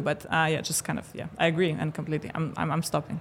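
Her voice sits fairly low in pitch for a woman. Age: 30s. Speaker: fintech CEO. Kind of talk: casual chat. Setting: conference studio.

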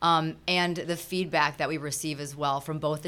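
In an American accent, a woman speaks with a very deep, low pitch and monotone, flat intonation. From Minnesota. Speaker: charity volunteer. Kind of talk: interview.

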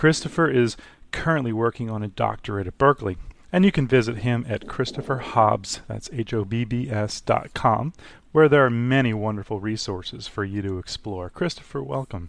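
In a normal speaking voice, a man talks at a medium pitch and a moderate pace with lively intonation. The recording is very clean, with a silent background. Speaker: radio host. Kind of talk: interview, casual chat.

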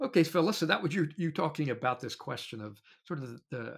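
A man with a fairly high pitch talks at a fairly quick pace in a somewhat breathy voice, on a very clean recording with a silent background. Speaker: podcast co-host and panel moderator. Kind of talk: interview and panel recap.

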